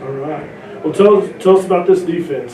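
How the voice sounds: A man's fairly high voice, dark and mellow in tone, at a moderate pace with ordinary pitch variation and audible room echo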